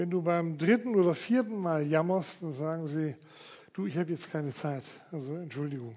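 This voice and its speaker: This man has a dark, mellow tone and a fairly high pitch. He speaks at a moderate pace with ordinary pitch variation. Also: quiet background. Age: 70s. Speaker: pastor. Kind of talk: sermon. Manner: casual.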